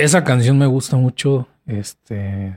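A man at a very slow pace, in a dry, close sound with no echo. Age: 30s. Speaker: podcast co-host, physicist. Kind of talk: casual chat.

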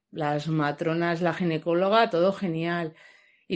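In an unremarkable speaking voice, a woman talks fairly slowly at a fairly low pitch with fairly even intonation over a quiet background. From Logroño, La Rioja, Spain. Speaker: new mother. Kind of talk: testimony. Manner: casual.

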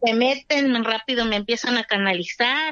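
This woman talks in a high register, her pitch moving with ordinary variation. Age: 30s. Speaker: homemaker, COVID survivor. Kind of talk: testimony.

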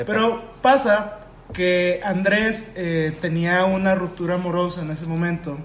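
A man with a Mexican accent talks at a fairly slow pace in a high pitch with ordinary pitch variation. Noticeable background noise and audible room echo fill the recording. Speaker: podcast co-host. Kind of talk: casual chat.

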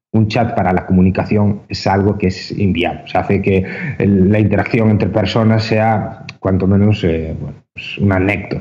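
Fairly even intonation marks this man's fairly low voice. His tone is dark and mellow, and his pace is moderate. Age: 20s. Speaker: esports entrepreneur. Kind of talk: interview. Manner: halting, frequent repetitions.

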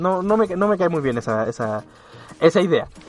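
A man talks with very wide pitch swings at a high pitch. The sound is dry and close with no echo, with music in the background. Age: 20s. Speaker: radio host. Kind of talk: casual chat; scripted narration. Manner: animated.

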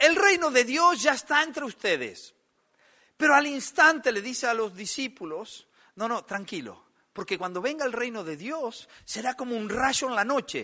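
Over a quiet background, a man speaks in a raised, projected voice at an extremely high pitch, with a bright, sharp tone, lively intonation and a moderate pace. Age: 50s. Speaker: pastor. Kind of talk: sermon.

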